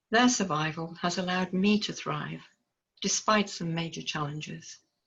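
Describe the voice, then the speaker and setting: A woman's fairly low voice with vocal fry and a Liverpool accent. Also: ordinary pitch variation, moderate pace. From northern England, Liverpool. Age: 70s. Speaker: researcher presenting autoethnography. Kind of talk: reading aloud of personal narrative.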